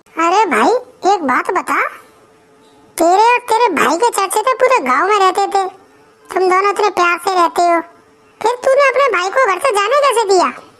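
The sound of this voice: Cartoonish character voice from a woman, squeaky and extremely high-pitched, with lively intonation and long, frequent pauses. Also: moderate pace.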